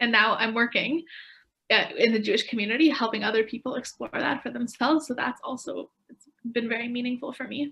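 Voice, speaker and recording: Speaking at a fairly quick pace, a woman has a high-pitched voice with a bright, sharp tone. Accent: Canadian. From Canada. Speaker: young faith volunteer. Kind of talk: panel Q&A for schools.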